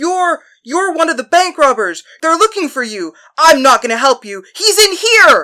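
In a very clean recording with a silent background, a put-on character voice speaks in a high pitch at a moderate pace. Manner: indignant, then commanding.

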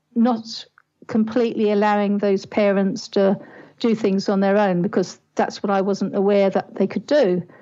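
A woman with a British accent speaks at a fairly slow pace, her fairly high voice carrying a dark, mellow tone. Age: 60s. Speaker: parenting life coach. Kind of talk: interview.

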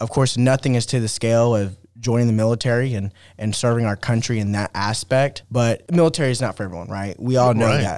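On a very clean recording with a silent background, a man with an unremarkable speaking voice talks at a fairly quick pace with hardly any pauses, at a medium pitch with ordinary pitch variation. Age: 20s. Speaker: city councilman, podcast guest. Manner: casual, frequent filler words.

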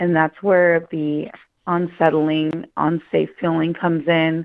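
A woman's unremarkable speaking voice, fairly low in pitch, at a fairly slow pace, with an American accent. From Northern California, Mendocino Coast. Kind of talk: interview testimony.

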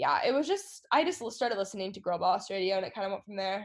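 Speaking with an American accent, a woman has a plain, everyday voice and a fairly high pitch. Her intonation is lively, and the background is quiet. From Texas. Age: 20s. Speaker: YouTuber and podcaster. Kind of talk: casual interview.

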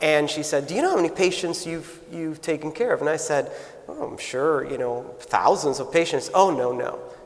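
Male speech in an American accent, medium speed, over clear background noise and audible room echo. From US, South Florida. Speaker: nursing school dean. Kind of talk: interview before live audience. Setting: stage with audience.

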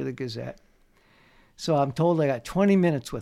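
With an American accent and ordinary pitch variation, a man speaks in a very clean recording with a silent background. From New Jersey, US. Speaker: sports journalist and author. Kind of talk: casual interview, storytelling. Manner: storyteller, anecdotal.

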